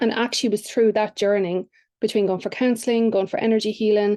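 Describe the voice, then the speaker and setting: A woman with an Irish accent, medium pitch, dark and mellow tone, monotone and flat intonation, very fast pace, quiet background. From Ireland. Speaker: business coach. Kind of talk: podcast interview.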